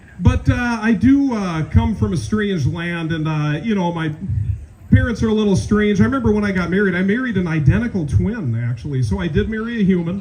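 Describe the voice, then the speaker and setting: A high-pitched man with a Minnesotan accent talks at a fairly quick pace with very wide pitch swings. Noticeable background noise and audible room echo fill the recording. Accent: Minnesota. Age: 40s. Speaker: comedian. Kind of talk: stand-up.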